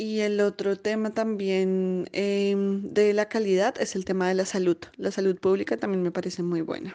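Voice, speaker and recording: Woman's medium-pitched voice with a dark, mellow tone, monotone, flat intonation, a fairly slow pace with hardly any pauses, against a quiet background. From Colombia. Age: 30s. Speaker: emigrant finance professional. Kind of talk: interview testimony.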